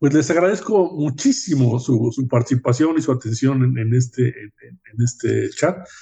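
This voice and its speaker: A man's medium-pitched, somewhat breathy voice with a dark, mellow tone, ordinary pitch variation, and a moderate pace. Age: 70s. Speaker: podcast host. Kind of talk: podcast interview.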